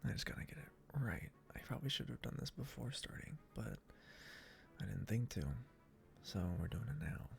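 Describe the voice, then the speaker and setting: Music plays in the background as a man talks at a moderate pace. His very deep, low pitch makes very wide swings. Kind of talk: casual gameplay commentary. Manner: whispered.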